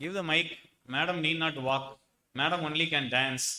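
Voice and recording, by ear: At a fairly slow pace, a man speaks with a bright, sharp tone, fairly high pitch and ordinary pitch variation.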